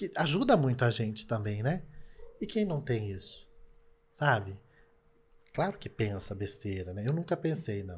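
With very wide pitch swings and a somewhat breathy sound, a man talks at a fairly slow pace, leaving long, frequent pauses. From Brazil. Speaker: TV presenter and content creator; TV presenter, content creator. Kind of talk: casual interview. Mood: indignant, sad about hate. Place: studio. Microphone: studio mic.

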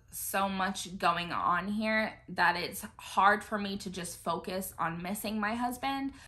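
Bright and sharp in tone, a woman with an American accent speaks at a very slow pace with ordinary pitch variation. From United States. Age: 20s. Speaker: YouTuber and military spouse; YouTuber. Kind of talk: casual chat. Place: home room. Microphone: phone near.

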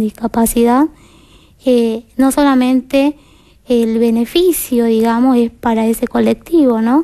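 A dark, mellow tone at a fairly slow pace, with fairly even intonation and a quiet background. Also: woman. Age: 20s. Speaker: interview guest. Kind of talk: TV interview testimony. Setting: TV studio. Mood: calm, earnest. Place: studio. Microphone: headset.

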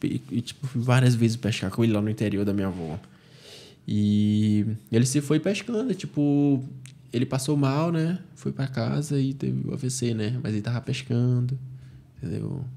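A man speaks at a moderate pace in a dark, mellow tone, with ordinary pitch variation. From Manaus, Brazil. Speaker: jiu-jitsu athlete; podcast guest. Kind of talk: casual interview. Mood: relaxed, reflective. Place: studio. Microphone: studio mic.

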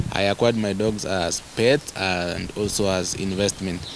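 Noticeable background noise accompanies a man speaking at a fairly slow pace. His pitch is fairly low. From Kenya, Maasai land; Kenya. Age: young. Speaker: dog breeder. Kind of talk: interview. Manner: halting, many fillers. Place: garden. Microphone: handheld.

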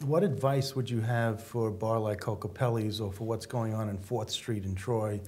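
A man talks at a moderate pace with hardly any pauses. His voice is somewhat breathy, and his intonation is fairly even. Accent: American. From US Northeast. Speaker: talk show co-host. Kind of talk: interview. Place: studio. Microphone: lapel.

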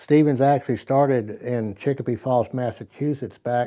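A man talks in a dark, mellow tone with ordinary pitch variation. The background is quiet. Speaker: presenter. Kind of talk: tutorial. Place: studio.

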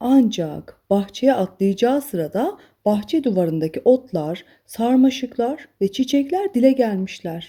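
The speech moves at a fairly slow pace with lively intonation and a dark, mellow tone carrying a slightly husky edge, on a very clean recording with a silent background. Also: woman, fairly high pitch for a woman.

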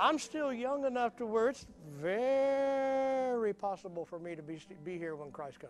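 Over light background noise, a man speaks at a moderate pace in an extremely high pitch, with very wide pitch swings and big swings in loudness. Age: 60s. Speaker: pastor. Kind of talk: sermon. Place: church.

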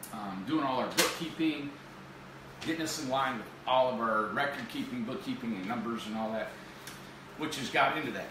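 A man speaks in a room with audible echo and noticeable background noise. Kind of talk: casual livestream presentation. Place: office. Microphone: camera far.

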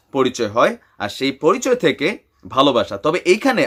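A man is speaking. His pitch is fairly high. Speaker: YouTuber, news commentator. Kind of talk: opinionated news commentary. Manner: animated.

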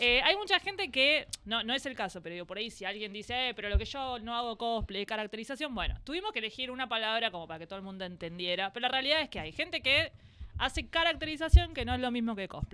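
Speaking very fast with hardly any pauses, a woman with a Rioplatense accent and a fairly high pitch swings widely in both pitch and loudness. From Argentina. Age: 30s. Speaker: podcast co-host. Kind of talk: casual chat. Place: studio. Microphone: studio mic.

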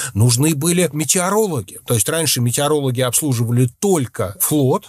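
The pace of this male speaker is moderate. A somewhat breathy sound runs through his voice. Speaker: journalist. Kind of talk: casual chat.

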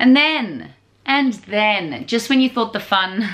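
Her pitch moves across a very wide range. The woman talks at a moderate pace. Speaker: home renovation vlogger. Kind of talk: casual vlog chat. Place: home room. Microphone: phone near.

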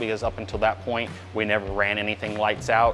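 A man is speaking at a moderate pace. Music plays in the background. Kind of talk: interview answer. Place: factory.

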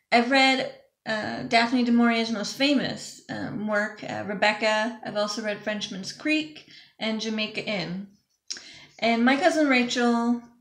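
A woman speaks at a fairly slow pace with ordinary pitch variation, her voice carrying audible room echo over a quiet background. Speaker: book vlogger. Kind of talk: casual vlog chat. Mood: relaxed, friendly. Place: home room. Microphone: webcam.

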